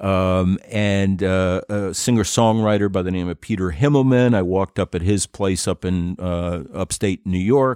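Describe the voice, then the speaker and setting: A man with an American accent, a very deep, low pitch, ordinary pitch variation, a moderate pace and hardly any pauses. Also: very clean recording, silent background. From Connecticut. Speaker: radio broadcaster and podcaster. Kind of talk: casual chat.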